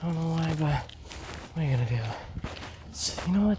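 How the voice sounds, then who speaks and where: Someone soft-spoken talks over noticeable background noise. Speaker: vlogger. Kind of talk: casual vlog monologue while cycling. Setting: outdoors on a bike.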